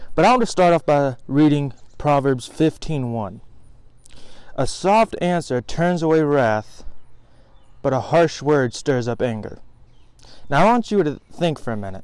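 With lively intonation, a man talks at a fairly slow pace and leaves long, frequent pauses. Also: dry sound with no echo. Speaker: vlogger. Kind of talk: casual vlog sermon. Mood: earnest, reflective. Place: garden. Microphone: phone near.

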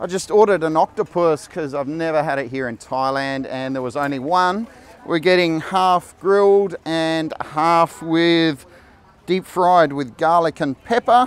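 A man at a fairly slow pace, with ordinary pitch variation and a dry sound free of echo. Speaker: food vlogger. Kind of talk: casual vlog chat. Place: market. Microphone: lapel.

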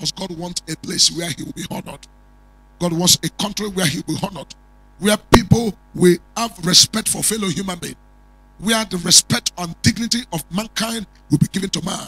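A solemn tone with a Nigerian accent, fairly quick pace, big swings in loudness and ordinary pitch variation. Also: man, high pitch for a man, dry sound with no echo. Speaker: prophet and preacher; preacher. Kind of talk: prophetic sermon with fervent, warning-filled declarations, ending in a blessing prayer. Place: studio. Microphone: handheld.

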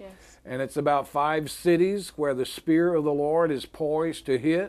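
A man talks at a fairly slow pace, his pitch variation ordinary, with a quiet background. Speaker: ministry show co-host. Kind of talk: religious testimony talk. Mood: earnest, warm. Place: studio.

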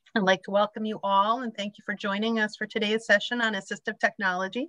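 A woman with a plain, everyday voice, fairly high-pitched, in a dry, close sound with no echo. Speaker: webinar moderator for an aging services agency. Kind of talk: webinar moderation. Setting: video call.

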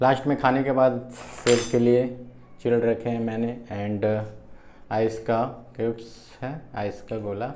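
Monotone, flat intonation at a fairly slow pace, with light background noise. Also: man. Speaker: food challenge vlogger. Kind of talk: casual vlog chat.

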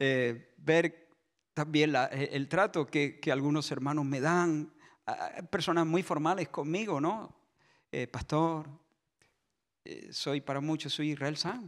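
Over a quiet background, a man with a fairly high voice talks very slowly, using ordinary pitch variation and long, frequent pauses. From Spain. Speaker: pastor. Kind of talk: sermon. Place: church. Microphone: handheld.

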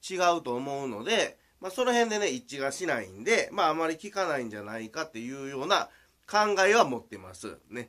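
A man with a Kansai accent, fairly high in pitch, at a moderate pace with very wide pitch swings. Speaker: swimming coach. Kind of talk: video tutorial. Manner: halting, full of fillers.

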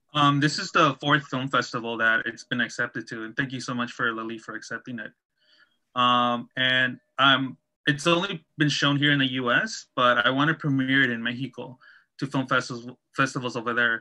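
With fairly even intonation and a moderate pace, a man talks over a quiet background. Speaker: documentary filmmaker. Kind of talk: panel Q&A. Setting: video call. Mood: earnest, reflective. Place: home room. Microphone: video call.

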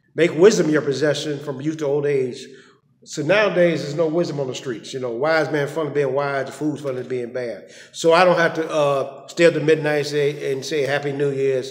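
A man at a fairly quick pace, with fairly even intonation. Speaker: motivational speaker. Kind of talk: personal reflection monologue. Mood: earnest, preachy. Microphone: phone near.

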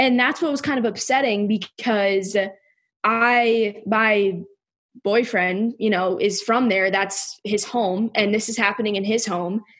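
Speaking at a fairly slow pace, a woman has a plain, everyday voice with fairly high pitch and fairly even intonation. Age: 20s. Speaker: former college gymnast. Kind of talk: casual interview conversation.

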